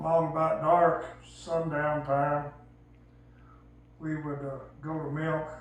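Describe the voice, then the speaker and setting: A man with a rural Southern US accent speaks at a very slow pace in a fairly high pitch, his intonation monotone and flat, with long, frequent pauses. Audible room echo and noticeable background noise sit around his voice. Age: 70s. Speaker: elderly storyteller. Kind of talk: casual storytelling.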